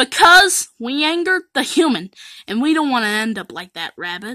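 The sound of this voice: A cartoonish character voice moves at a moderate pace. Its tone is bright and sharp, with big pitch swings.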